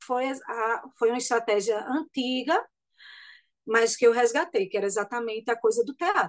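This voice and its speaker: A high-pitched woman's voice over a quiet background. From Pernambuco Agreste, Brazil. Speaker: singer and actress. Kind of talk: radio interview.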